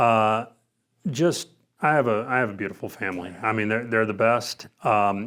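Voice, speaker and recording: Here a man uses an ordinary speaking voice at medium pitch. He keeps a moderate pace with ordinary pitch variation. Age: 50s. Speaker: former college basketball player, sales manager. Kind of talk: interview.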